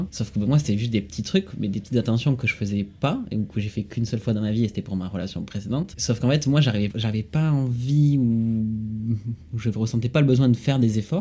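Music plays in the background while a man speaks at a fairly quick pace. His pitch is medium, with ordinary pitch variation. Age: 20s. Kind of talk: casual chat.

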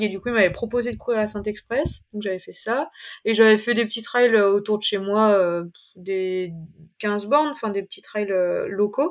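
At a moderate pace, a woman speaks with a fairly high pitch, ordinary pitch variation and big swings in loudness, on a very clean recording with a silent background. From eastern France (Ain). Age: 20s. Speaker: trail runner, PE teacher. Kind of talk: interview. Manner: halting.

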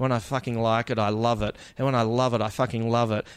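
A man with an Australian accent talks at a very fast pace. His intonation is monotone and flat. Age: 40s. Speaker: comedian. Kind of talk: casual chat.

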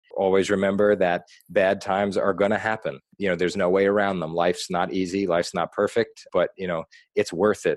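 A man speaks fairly quickly in an American accent, his pitch fairly low and his intonation flat and monotone. The sound is dry and close with no echo, over a quiet background. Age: 30s. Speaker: nonprofit founder and anti-bullying advocate. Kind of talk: interview.

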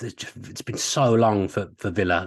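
A man's fairly low voice comes through against a quiet background. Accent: Birmingham. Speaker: sports broadcaster and journalist. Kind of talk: casual chat.

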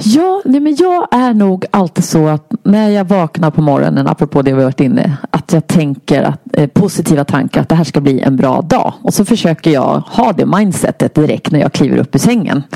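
A woman talks at a moderate pace with hardly any pauses, her loudness very even and her fairly low pitch swinging very widely. The sound is dry and close with no echo, though noticeable background noise is present. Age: 50s. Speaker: health inspirer and public speaker. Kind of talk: interview, personal illness testimony.

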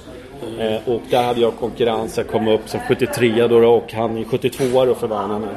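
With audible room echo and noticeable background noise, a man speaks at medium pitch and a moderate pace in a monotone, flat way. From Stockholm, Sweden. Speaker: former ice hockey goalkeeper and TV goalie expert. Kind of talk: casual interview. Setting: hotel room. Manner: hesitant, many fillers.

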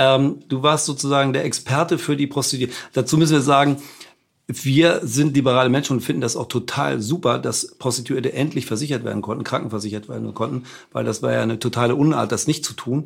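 This man has a medium pitch and vocal fry. He talks at a very fast pace with fairly even intonation. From Hamburg, northern Germany. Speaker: podcast host and publisher. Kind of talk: interview. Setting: on Mallorca.

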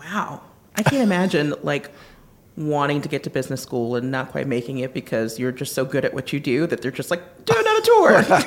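A woman's very deep, low voice, lively in intonation and fairly quick, with noticeable background noise. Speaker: podcast host, interviewer. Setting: live event interview.

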